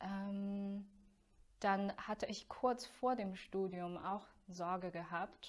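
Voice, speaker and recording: A woman with a Chinese accent, medium-pitched, her intonation fairly even and her pace very slow. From China. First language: Chinese (speaking German). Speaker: voice student. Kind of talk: interview.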